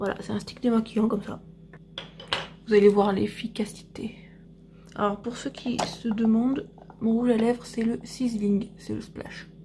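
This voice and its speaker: A soft-spoken woman with a fairly high pitch talks at a fairly slow pace in a flat monotone, with long, frequent pauses. Her loudness swings widely, and background noise is noticeable. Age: 30s. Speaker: vlogger and beauty product seller. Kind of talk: casual vlog.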